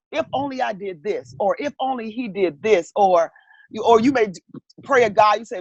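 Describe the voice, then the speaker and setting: With lively intonation, a woman sounds somewhat breathy in a dry, close recording with no echo. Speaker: counselor. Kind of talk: interview.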